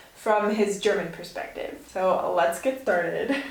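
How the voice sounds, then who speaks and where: A woman with an American accent talks at a moderate pace, her medium pitch moving with ordinary variation. Noticeable background noise and audible room echo fill the recording. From United States. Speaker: YouTuber in couple channel. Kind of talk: casual chat.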